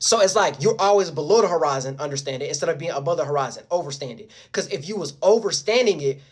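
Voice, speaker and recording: Talking at a very fast pace with hardly any pauses, a man sounds animated. His pitch is high and his intonation lively. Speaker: video blogger. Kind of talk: casual monologue.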